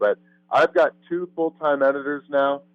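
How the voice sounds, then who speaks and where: With music in the background, a man with an American accent speaks at a moderate pace. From Missouri, US Midwest. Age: 30s. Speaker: competitive eater and YouTuber. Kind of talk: interview.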